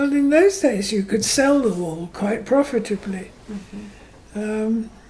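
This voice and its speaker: Against noticeable background noise, a woman speaks at a fairly slow pace. Her pitch is fairly high, with ordinary variation. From Herefordshire, England. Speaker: retired farmer's daughter and horse rider. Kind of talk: oral history interview answer.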